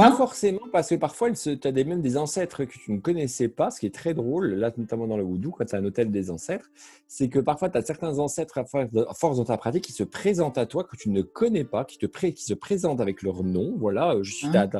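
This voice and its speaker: A dark, mellow, somewhat breathy voice with very wide pitch swings and hardly any pauses, on a very clean recording against a silent background. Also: man, fairly high pitch for a man. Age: 40s. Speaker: spiritual practitioner and occult shop owner. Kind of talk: casual interview chat. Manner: hesitant, many fillers.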